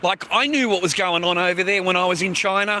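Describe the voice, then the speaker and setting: A man with an Australian accent speaks at a moderate pace in a high, bright, sharp voice. His tone is animated, and his voice is raised and projected. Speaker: live streamer. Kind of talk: livestream monologue. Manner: halting.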